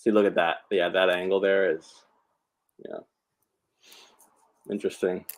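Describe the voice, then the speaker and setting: A man talks at a moderate pace, with long, frequent pauses. His loudness swings widely. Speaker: patient sharing surgery experience. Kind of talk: casual chat.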